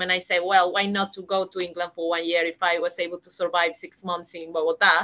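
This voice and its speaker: In a Peruvian accent, a woman speaks in a monotone, flat intonation with a bright, sharp tone. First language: Spanish. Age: 30s. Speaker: HR manager, migrant interviewee. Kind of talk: interview.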